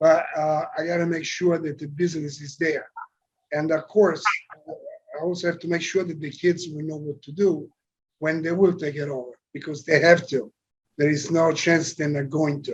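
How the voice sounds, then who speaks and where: Speaking with a strong Italian accent, a man holds a moderate pace at a fairly high pitch in monotone, flat intonation. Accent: heavy Italian. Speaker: company chairman. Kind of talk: interview.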